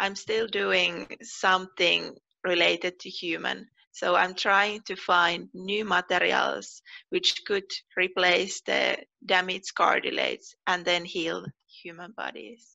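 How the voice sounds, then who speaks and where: In a Finnish accent, a woman speaks at a very slow pace with big swings in loudness, in a dry recording with no echo and a quiet background. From Finland. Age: 20s. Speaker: PhD researcher. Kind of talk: personal interview monologue. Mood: friendly, calm. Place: home room. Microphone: headset.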